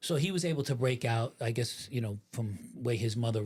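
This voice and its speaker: A man with an American accent talks very fast at a medium pitch, somewhat breathy, in a very clean recording with a silent background. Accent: New York accent, somewhat changed. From New York (New Rochelle, Westchester). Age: 60s. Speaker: former mafia member and FBI informant. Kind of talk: interview. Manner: casual, halting with fillers.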